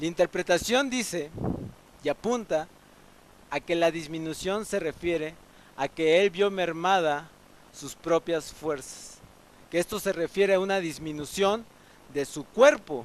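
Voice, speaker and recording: At a fairly slow pace and with long, frequent pauses, a man with a slight Veracruz accent speaks at a high pitch with ordinary pitch variation, the sound dry and close with no echo. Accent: Veracruz (jarocho) Mexican Spanish, slight. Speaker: pastor. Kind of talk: sermon. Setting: church, livestreamed. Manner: halting, with repetitions.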